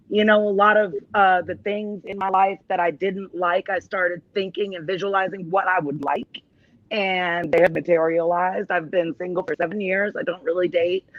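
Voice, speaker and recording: With a Rhode Island accent, a woman speaks at a medium pitch with fairly even intonation. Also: moderate pace. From Texas, Austin. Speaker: talk show guest, domestic violence survivor. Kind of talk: casual chat interview.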